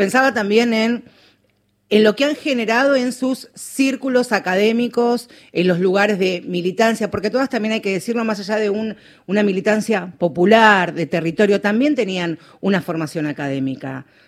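At a moderate pace, a woman talks with lively intonation at a medium pitch. She has a plain, everyday voice. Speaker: radio host. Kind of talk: radio interview.

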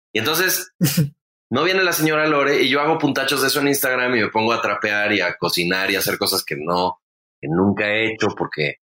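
Very wide pitch swings mark a man's bright, sharp tone at a fairly quick pace. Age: 40s. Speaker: comedian and podcast host. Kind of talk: casual chat.

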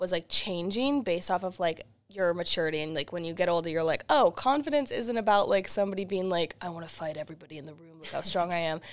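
With a normal speaking voice and lively intonation, a woman with an American accent is heard in a very clean recording with a silent background. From Boston, US. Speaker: singer-songwriter. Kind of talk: radio interview.

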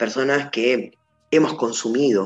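A man's fairly high voice moves at a moderate tempo, with ordinary variation in pitch. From Argentina, Entre Ríos (Gualeguaychú). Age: 30s. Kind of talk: personal testimony interview. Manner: halting, with fillers and repetitions.

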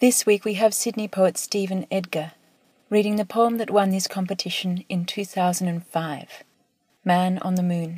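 Her voice is somewhat breathy, with a dark, mellow tone and a medium pitch, as a woman speaks at a fairly slow pace with fairly even intonation. The sound is dry and close with no echo. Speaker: poetry editor. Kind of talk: scripted introduction. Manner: formal.

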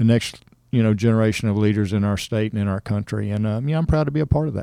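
A man with a Texan accent, medium-pitched and dark, mellow in tone, talking at a very fast pace with ordinary pitch variation. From Texas, Cypress near Houston. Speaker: rodeo board chairman. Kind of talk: interview.

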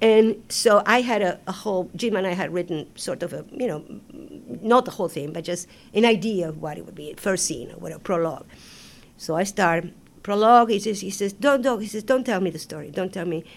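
The speaker talks fairly quickly in an Argentine accent. Loudness swings widely while pitch varies in an ordinary way. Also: woman, medium pitch for a woman. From Argentina, Buenos Aires. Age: 70s. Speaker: Broadway choreographer and director. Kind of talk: interview. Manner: animated.

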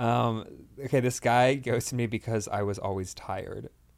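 Here a man talks at a medium pitch with fairly even intonation. Vocal fry runs through his voice. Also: long, frequent pauses, big swings in loudness. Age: 20s. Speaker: guest.

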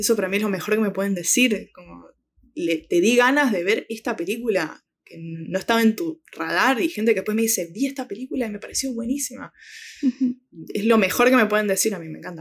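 A woman with an Argentine accent talks at a fairly quick pace, her fairly high voice full of lively intonation and big swings in loudness. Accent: Rioplatense Argentine Spanish. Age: 20s. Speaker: film social media curator. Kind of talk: interview. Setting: remote call.

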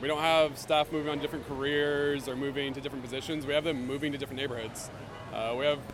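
A man with a fairly high pitch rattles along at a very fast pace over noticeable background noise. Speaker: teacher. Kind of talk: protest interview. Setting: outdoors at a protest. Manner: measured, explanatory, filler-heavy.

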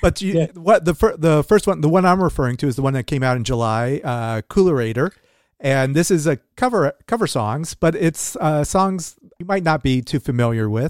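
An ordinary speaking voice talks at a moderate pace. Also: man, fairly high pitch for a man, lively intonation. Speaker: podcast host. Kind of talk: interview. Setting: video call.

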